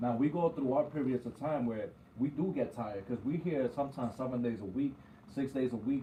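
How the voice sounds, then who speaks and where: This man has a plain, everyday voice with an American accent and a medium pitch. He talks at a fairly quick pace with ordinary pitch variation. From New York. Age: 30s. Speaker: barber and radio co-host. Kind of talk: casual chat.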